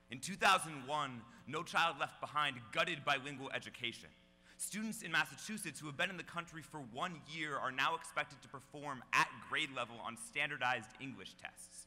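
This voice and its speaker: Over music in the background, a man talks in a fairly high pitch. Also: ordinary pitch variation, moderate pace. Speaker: slam poet. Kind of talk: slam poetry performance.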